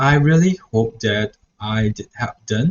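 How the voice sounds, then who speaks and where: In a Mandarin accent, a man speaks at medium pitch with a somewhat breathy sound. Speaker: student teacher. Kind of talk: reflection vlog. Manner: halting.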